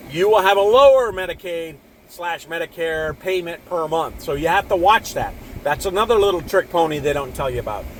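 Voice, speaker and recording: Against noticeable background noise, a man talks at a fairly quick pace in a high pitch with ordinary pitch variation. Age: 60s. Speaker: video blogger sharing personal finance views. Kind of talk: casual monologue. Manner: casual, rambling with repetitions and fillers.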